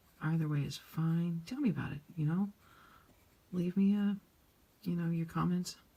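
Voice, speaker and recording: Her voice is somewhat breathy, with a dark, mellow tone and a fairly low pitch. The woman keeps a moderate pace and ordinary pitch variation. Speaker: coloring channel creator. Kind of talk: casual chat while coloring. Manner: quiet, subdued.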